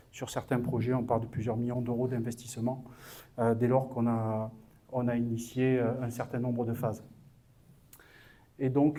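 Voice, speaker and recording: In a dark, mellow tone, a man speaks at a moderate pace and a medium pitch. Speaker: business consultant. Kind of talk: conference talk. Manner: halting, many hesitations.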